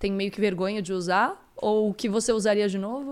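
A woman with a normal speaking voice and a fairly high pitch talks at a moderate pace on a very clean recording with a silent background. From Santa Catarina, Brazil. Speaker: podcast co-host. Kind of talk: casual chat. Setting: live stream.

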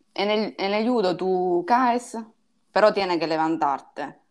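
Speaking with an Italian accent, a woman uses ordinary pitch variation. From Sicily, Ragusa. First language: Italian (speaking Spanish). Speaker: judoka and musician. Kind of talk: casual interview. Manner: halting, mixing Italian.

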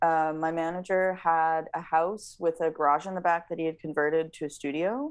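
This is a woman with an unremarkable speaking voice. She talks at a moderate pace. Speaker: singer-songwriter. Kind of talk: casual interview. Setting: video call.

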